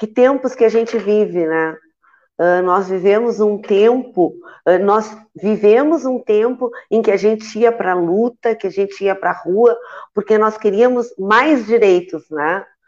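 A woman with a plain, everyday voice, fairly high pitch, ordinary pitch variation and a fairly slow pace. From Santa Vitória do Palmar, Rio Grande do Sul, Brazil. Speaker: teacher and trade union director. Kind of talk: panel discussion on live web show.

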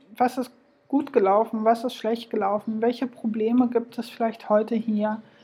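Over noticeable background noise, a woman with a fairly high pitch talks at a moderate pace in a flat monotone. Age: 40s. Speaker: podcast host. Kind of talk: solo podcast monologue.

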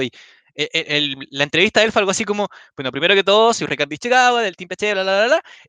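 A man with a Chilean accent, very fast and lively in intonation, bright and sharp in tone, the sound dry and close with no echo against a quiet background. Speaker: podcast host and tournament commentator. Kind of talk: casual chat.

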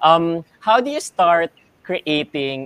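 A man talks at a fairly slow pace with very wide pitch swings. The sound is dry and close, with no echo. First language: Filipino (Tagalog). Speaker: online show co-host. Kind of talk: casual chat; scripted show outro. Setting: live stream.

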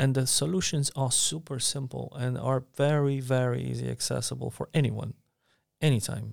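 The speaker has a Polish accent and keeps a moderate pace. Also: man. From Poland, Warsaw. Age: 30s. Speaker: mentor. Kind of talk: casual chat. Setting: co-working space.

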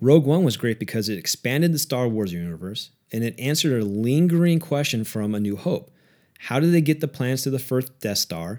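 Over a very clean recording with a silent background, a man with an unremarkable speaking voice talks at a fairly quick pace with lively intonation. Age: 40s. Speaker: portfolio manager and podcast host. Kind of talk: solo commentary on investing. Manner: casual with filler words.

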